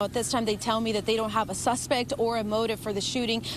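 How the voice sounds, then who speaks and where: A woman rattles along at a very fast pace with noticeable background noise around her. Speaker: bilingual TV news reporter. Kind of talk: live breaking-news field report.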